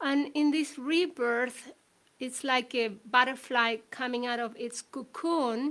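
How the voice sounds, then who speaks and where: Speaking very slowly in a Spanish accent, a woman uses a high pitch and fairly even intonation. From Chile. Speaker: shamanic healer and author. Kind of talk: talk. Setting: livestream. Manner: hesitant.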